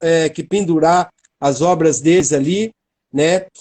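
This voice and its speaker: Dark, mellow tone with fairly even intonation. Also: man. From Brazil, interior of São Paulo state. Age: 60s. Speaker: art gallery owner. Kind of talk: interview.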